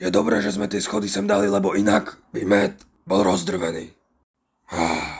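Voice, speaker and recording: A raspy, put-on character voice speaks with fairly even intonation. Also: man, fairly low pitch for a man. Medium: fan dub. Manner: deadpan.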